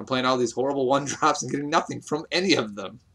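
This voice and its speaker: Here a man talks at a very fast pace. His tone is bright and sharp. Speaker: game commentator. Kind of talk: live commentary. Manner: animated.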